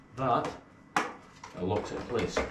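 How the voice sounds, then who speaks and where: A man's voice with noticeable background noise. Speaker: golfer. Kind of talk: product review to camera. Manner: stiff, robotic to camera.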